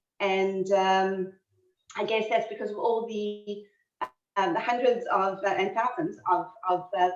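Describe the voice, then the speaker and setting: A woman with a strong South African accent, her fairly slow pace marked by long, frequent pauses. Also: medium pitch for a woman, fairly even intonation. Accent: South African, still strong. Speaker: history lecturer. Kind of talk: lecture. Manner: halting, many fillers.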